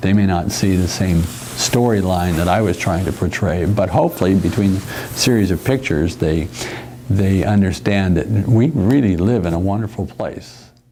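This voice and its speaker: The speaker moves at a moderate pace with ordinary pitch variation over noticeable background noise. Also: man, very deep, low pitch for a man. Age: 70s. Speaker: part-time wine courier. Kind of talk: casual personal reflection interview. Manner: halting, with hesitations and repeats.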